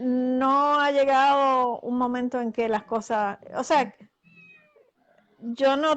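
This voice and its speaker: Speaking very slowly, a woman uses a high pitch and a fairly even intonation. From Puerto Rico. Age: 60s. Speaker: author and astral projection practitioner. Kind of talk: interview. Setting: live video call broadcast.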